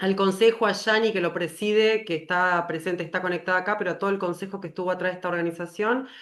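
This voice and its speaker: At a very fast pace with hardly any pauses, a woman talks at medium pitch. Her intonation is fairly even. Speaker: webinar moderator, pediatrician. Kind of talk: closing remarks.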